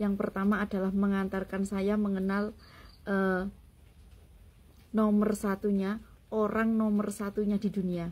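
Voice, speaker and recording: A woman at medium pitch speaks in a somewhat breathy voice with monotone, flat intonation, very even loudness and long, frequent pauses, in a very clean recording with a silent background. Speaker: content creator. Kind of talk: personal vlog monologue.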